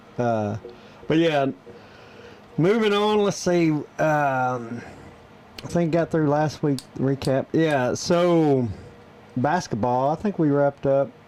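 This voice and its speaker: In a strong Southern US accent, a man with a fairly high pitch talks at a very slow pace, with lively intonation, very even loudness and long, frequent pauses. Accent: thick Southern US. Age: 40s. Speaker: podcast co-host. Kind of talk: casual chat. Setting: studio.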